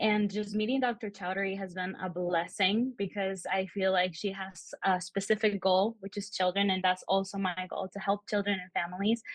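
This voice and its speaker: Somewhat breathy, a woman speaks with an American accent at a medium pitch and moderate pace. Her intonation is monotone and flat, with hardly any pauses. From Peru, raised in the US. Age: 20s. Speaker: social work student. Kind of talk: podcast interview.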